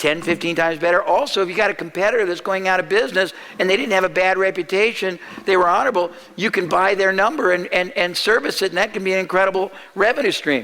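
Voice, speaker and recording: Over noticeable background noise, a man projects a raised, high-pitched voice at a very fast pace. His loudness stays very even, and his pitch varies in an ordinary way. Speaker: marketing speaker. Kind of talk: seminar talk.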